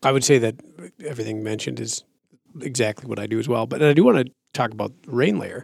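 With an American accent and vocal fry, a man speaks very fast in fairly even intonation, broken by long, frequent pauses. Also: medium pitch for a man. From Minnesota. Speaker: hunter. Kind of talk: casual chat.

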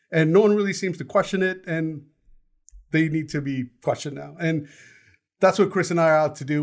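The man has an unremarkable speaking voice, fairly high in pitch, with fairly even intonation. He talks at a fairly quick pace on a very clean recording with a silent background. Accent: American. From United States. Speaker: podcast co-host. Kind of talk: casual chat.

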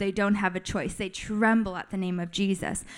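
A woman speaks with a General American accent. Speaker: missionary teacher. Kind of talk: teaching workshop. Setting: live in front of audience with mic.

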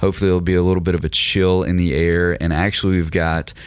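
At a fairly quick pace, a man with a very deep, low pitch speaks in a monotone, flat intonation. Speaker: podcast host and teacher. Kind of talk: casual discussion with a sermon-like teaching.

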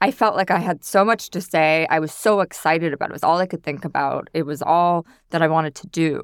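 A woman with a fairly low pitch and an American accent, very fast and with hardly any pauses, ordinary pitch variation, a dry, close sound with no echo, and a very clean recording over a silent background. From New York City. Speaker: food stylist. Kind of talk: interview.

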